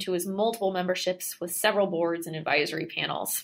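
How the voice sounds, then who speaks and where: A woman with an ordinary speaking voice talks at a fairly quick pace and medium pitch, keeping her intonation fairly even. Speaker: podcast host. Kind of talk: interview.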